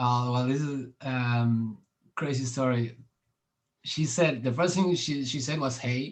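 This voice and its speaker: A man speaks very slowly with a Spanish accent. His pitch is medium and his intonation fairly even. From Argentina. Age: 30s. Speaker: podcast host and street musician. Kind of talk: casual chat. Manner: halting.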